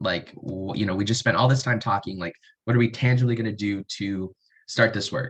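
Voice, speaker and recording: The man talks at a fairly quick pace with a fairly low pitch. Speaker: researcher and student presenter. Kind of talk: webinar presentation. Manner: fast; animated.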